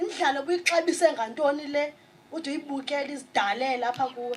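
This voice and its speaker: A woman with a South African accent speaks at a high pitch with ordinary pitch variation. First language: Xhosa. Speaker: spoken word poet. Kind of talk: poetry performance.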